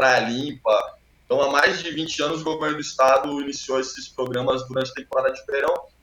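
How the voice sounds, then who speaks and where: Monotone and flat in intonation, a man with a fairly high pitch speaks at a fairly quick pace. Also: hardly any pauses. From Brazil, São Paulo coast (Itanhaém). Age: 40s. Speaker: environmental NGO founder, surfer. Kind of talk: interview.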